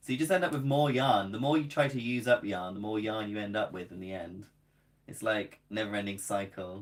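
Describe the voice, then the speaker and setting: Speaking fairly quickly in a southern British accent, a man with a fairly low pitch shows ordinary pitch variation and big swings in loudness. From southern England. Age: 20s. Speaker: crochet content creator. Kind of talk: casual live stream chat. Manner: casual and chatty.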